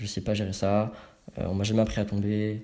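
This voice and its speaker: A man with a dark, mellow tone and a fairly low pitch talks at a moderate pace. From Paris suburbs, France. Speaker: street workout athlete. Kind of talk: casual chat. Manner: animated.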